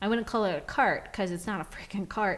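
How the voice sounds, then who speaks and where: Her intonation fairly even, the woman uses a plain, everyday voice at a medium pitch. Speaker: podcast host. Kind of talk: casual chat.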